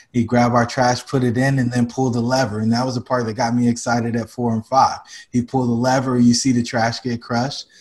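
A man talks at a fairly quick pace in a monotone, flat intonation. The background is quiet. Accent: American. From North Carolina, Fayetteville. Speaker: real estate investor. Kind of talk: interview. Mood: friendly, smiling at times. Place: home room. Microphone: webcam.

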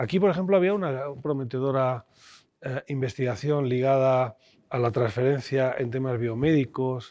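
In a dry recording with no echo and a quiet background, a man speaks at a moderate pace with a dark, mellow tone and ordinary pitch variation. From Spain, León; Spain. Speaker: constitutional law professor and former education official; interviewee, law professor. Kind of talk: interview. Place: studio. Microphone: lapel.

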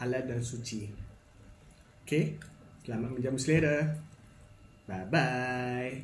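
Fairly even intonation marks a man's speech, heard with audible room echo and light background noise. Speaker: home cook vlogger. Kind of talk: casual vlog chat. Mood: friendly, relaxed. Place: home room. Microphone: phone near.

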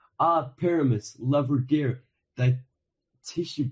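A man puts on a squeaky character voice at medium pitch, speaking at a fairly slow pace with ordinary pitch variation.

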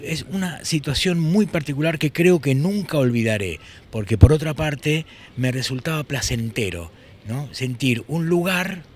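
This man's voice is fairly high and somewhat breathy, with lively intonation. The sound is dry with no echo. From Buenos Aires, Argentina. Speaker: poet, musician and screenwriter. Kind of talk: interview answer. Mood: thoughtful, emotional recollection. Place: street. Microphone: handheld.

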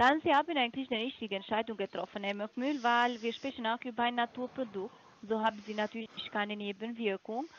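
A woman with a non-native accent talks at a fairly quick pace in a fairly high pitch with ordinary pitch variation, and the sound is dry with no echo. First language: not German (speaking German). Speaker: supplement sales caller; caller. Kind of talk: phone sales pitch. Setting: phone call. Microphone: phone line.

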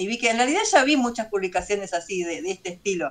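Very wide pitch swings mark this woman's speech. She talks at a very fast pace with a Rioplatense accent. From Buenos Aires, Argentina; Argentina. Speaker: doll maker and craft teacher; craft teacher. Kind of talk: casual interview chat. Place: home room. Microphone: video call.

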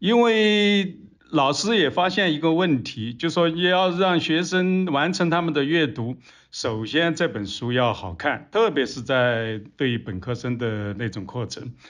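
Very wide pitch swings mark a man's fairly high voice as he speaks at a fairly slow pace. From Sichuan. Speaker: historian. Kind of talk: interview discussion.

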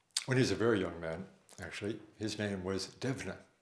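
A man at a moderate pace, with audible room echo. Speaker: storyteller. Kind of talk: storytelling introduction. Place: home room.

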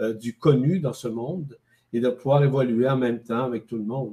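The voice is dark and mellow, somewhat breathy, with ordinary pitch variation at a moderate pace. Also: man. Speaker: guest. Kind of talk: interview answer. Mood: calm, reflective. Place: home room. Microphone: video call.

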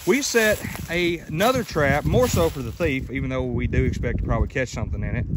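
The man's voice sounds dry, with no echo. Light background noise can be heard. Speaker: trapper vlogger. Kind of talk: casual vlog chat. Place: forest. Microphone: phone near.

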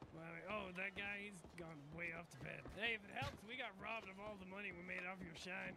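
Over clear background noise, a man puts on a character voice at a high pitch and a fairly quick pace. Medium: game stream. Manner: breezy, casual, sweary.

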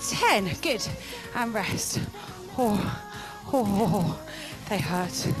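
Woman at a very slow pace, with clear music in the background. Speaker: fitness instructor. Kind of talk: exercise class instruction. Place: gym. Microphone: headset.

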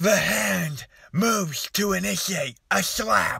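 Someone uses a put-on character voice that is raspy and middle-pitched, speaking at a very slow pace. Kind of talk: comedic story reading. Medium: comedy sketch. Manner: panicked, exaggerated.

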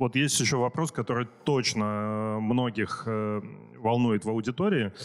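An ordinary speaking voice from a man at medium pitch, fairly slow in pace, on a very clean recording with a silent background. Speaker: conference host. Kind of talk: casual chat. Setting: stage with audience.

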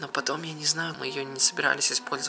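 A man whispering at a fairly quick pace. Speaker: vlogger. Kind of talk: casual vlog chat. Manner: hushed, secretive talk to camera. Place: home room. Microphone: phone near.

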